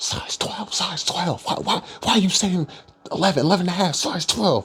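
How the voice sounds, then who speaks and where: A man does a quiet, high-pitched put-on character voice at a moderate pace with ordinary pitch variation. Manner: yelling in a hushed, frantic way.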